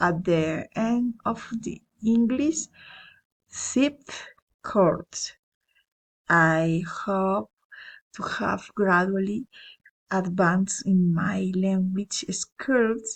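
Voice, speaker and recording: A woman with a Spanish accent and a medium pitch speaks very slowly, with long, frequent pauses, ordinary pitch variation and a somewhat breathy voice. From Colombia, Cesar. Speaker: language student. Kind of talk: self-introduction for class. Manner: halting, some repetitions.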